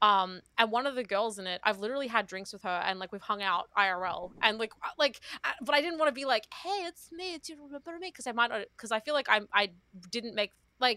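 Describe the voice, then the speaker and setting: A woman speaks at a fairly quick pace with a fairly high pitch, a bright, sharp tone and lively intonation. Her loudness swings widely, and the sound is dry and close with no echo. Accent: Australian. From Australia. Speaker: VTuber and streamer. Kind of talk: casual chat.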